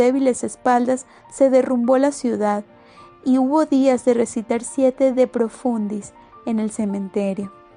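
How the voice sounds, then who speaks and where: Music plays in the background as a woman speaks fairly slowly. Her high voice keeps fairly even intonation. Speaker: audiobook narrator. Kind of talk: audiobook novel reading.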